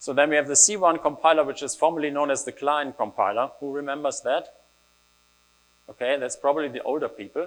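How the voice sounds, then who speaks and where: A man with a German accent talks at a very fast pace. His fairly high voice keeps a fairly even intonation. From Germany. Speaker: developer advocate. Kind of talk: conference talk. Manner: casual, with fillers.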